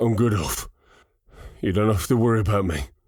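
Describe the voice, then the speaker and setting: A man puts on a raspy character voice, fairly low in pitch, delivered at a fairly quick pace. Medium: read story.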